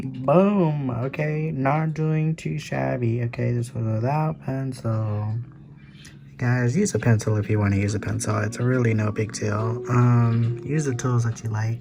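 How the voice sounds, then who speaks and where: Soft-spoken and at a fairly slow pace, a man with a medium pitch and ordinary pitch variation talks amid noticeable background noise and audible room echo. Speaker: artist youtuber. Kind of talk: casual chat while sketching. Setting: at home at night. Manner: quiet.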